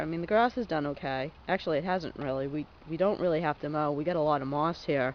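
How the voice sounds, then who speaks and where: Very fast pace with hardly any pauses. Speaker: video blogger. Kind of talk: casual vlog walkthrough.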